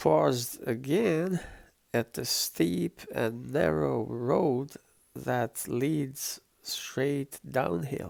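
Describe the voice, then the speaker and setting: At a very slow pace, a man with a non-native accent talks in a relaxed tone at a medium pitch, his pitch swinging very widely. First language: not English. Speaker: travel vlogger. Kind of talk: travel vlog narration. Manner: relaxed, with hesitations.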